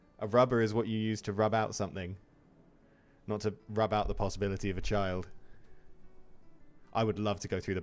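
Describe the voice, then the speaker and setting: With music in the background, a man speaks at a fairly quick pace with long, frequent pauses. His pitch is fairly low and his intonation is monotone and flat. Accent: English. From England. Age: 30s. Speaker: video game streamer. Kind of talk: live gameplay commentary. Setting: live stream. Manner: casual, chatty.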